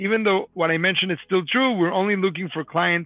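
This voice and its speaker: Music plays behind a man who talks at a high pitch. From Mexico City. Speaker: company founder and CEO. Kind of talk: live Q&A webinar. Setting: live online video stream. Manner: fast.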